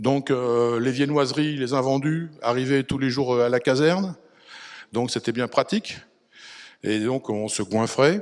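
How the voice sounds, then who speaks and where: A man talks at a fairly slow pace with long, frequent pauses, using a medium pitch with ordinary pitch variation. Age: 60s. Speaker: retired firefighter. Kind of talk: testimony. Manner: hesitant, many fillers.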